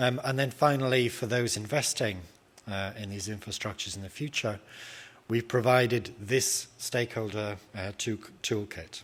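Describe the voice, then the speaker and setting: A man's medium-pitched voice with a British accent and fairly even intonation. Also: moderate pace. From Britain. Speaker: academic researcher. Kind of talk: conference presentation. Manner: hesitant, many filler sounds.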